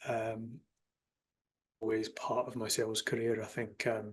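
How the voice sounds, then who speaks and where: A man with a Glasgow accent talks at a moderate pace. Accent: Scottish (Glasgow), milder than typical. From Scotland, Glasgow. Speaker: sales enablement executive. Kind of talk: podcast interview.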